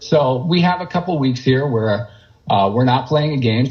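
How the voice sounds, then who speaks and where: A man at a medium pitch with ordinary pitch variation, a somewhat breathy sound, and a moderate pace. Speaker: stadium public address announcer. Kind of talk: interview answer.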